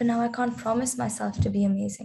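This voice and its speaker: Her tone dark, mellow and somewhat breathy, a woman speaks with very wide pitch swings. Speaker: spoken word poet. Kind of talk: spoken word poetry performance.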